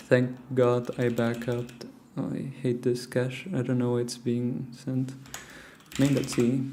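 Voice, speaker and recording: Quiet and very slow, a man talks in a medium pitch with a flat, monotone delivery and audible room echo. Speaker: programming livestreamer. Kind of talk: live coding stream chat. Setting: at home, early morning. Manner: quiet, hushed.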